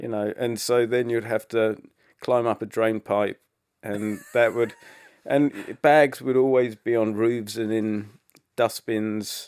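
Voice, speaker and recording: A man with an English accent speaks at a very slow pace, his medium pitch held in a monotone, flat intonation. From England. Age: young. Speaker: rock musician. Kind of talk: interview answer. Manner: soft-spoken.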